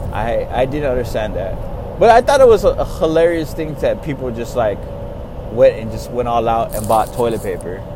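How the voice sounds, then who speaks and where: Speaking at a moderate pace, a man has an American accent. Noticeable background noise and audible room echo are present. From Texas. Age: 30s. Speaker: podcaster. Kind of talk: casual monologue. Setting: in a car. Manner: casual, rambling with fillers.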